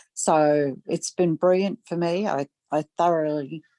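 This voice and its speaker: Recorded very cleanly against a silent background, with a dry, close sound and no echo, a woman speaks with a very deep, low pitch, a dark, mellow tone and fairly even intonation. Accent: Australian. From Australia, Gold Coast. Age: 70s. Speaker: massage therapist. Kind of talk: interview testimony. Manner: hesitant, many fillers.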